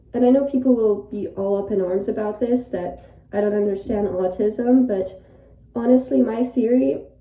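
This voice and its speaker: With audible room echo, a woman speaks at a moderate pace in a fairly high pitch, her tone dark and mellow, her pitch variation ordinary. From Ireland. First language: Polish. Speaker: YouTuber. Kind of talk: casual monologue. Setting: bathroom, in a bathtub. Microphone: echoey room acoustics.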